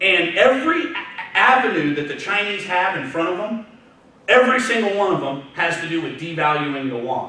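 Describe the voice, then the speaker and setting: Loud and fairly quick, a man with a Texan accent talks in a high pitch with lively intonation, over noticeable background noise and audible room echo. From Texas, Houston area. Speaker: trader, guest speaker. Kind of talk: talk to students. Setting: university lecture room with audience. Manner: fast.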